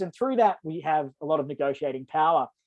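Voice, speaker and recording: Someone speaks at a fairly quick pace with an Australian accent. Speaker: energy program coordinator for a not-for-profit. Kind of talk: webinar presentation. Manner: fast.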